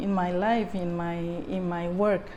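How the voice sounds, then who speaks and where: A woman's very slow speech with fairly even intonation and audible room echo. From Puerto Rico. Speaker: artist and fashion designer. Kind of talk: interview. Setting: artist's studio. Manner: halting, many repetitions.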